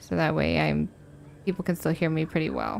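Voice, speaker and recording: A woman speaks in a soft-spoken manner. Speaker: game streamer. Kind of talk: casual chat.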